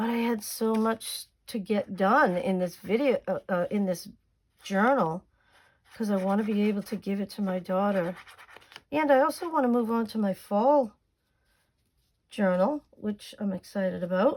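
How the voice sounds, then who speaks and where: A woman with a Boston accent, with long, frequent pauses. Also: medium pitch for a woman, ordinary pitch variation, moderate pace. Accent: thick Boston. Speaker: crafting YouTuber. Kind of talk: crafting tutorial. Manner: casual, chatty.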